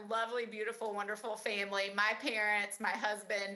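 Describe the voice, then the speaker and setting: A woman talks at a fairly quick pace in a fairly high pitch. Room echo is audible around her voice. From Central Appalachia, Luttrell, Tennessee. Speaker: university professor. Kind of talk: online presentation. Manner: casual, conversational.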